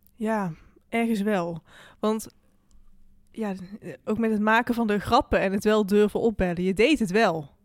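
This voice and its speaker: With long, frequent pauses, a woman speaks at a fairly slow pace and fairly high pitch with ordinary pitch variation, in a very clean recording with a silent background. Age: 20s. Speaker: podcast host and student. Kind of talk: interview conversation. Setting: studio.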